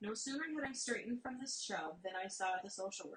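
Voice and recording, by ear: A natural voice reads the text aloud.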